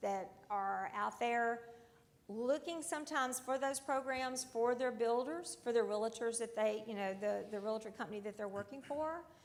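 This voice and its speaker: A high-pitched woman's voice with a Southern US accent. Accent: southern drawl. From US South, Alabama. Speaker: audience member in mortgage warehouse lending. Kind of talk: panel discussion comment.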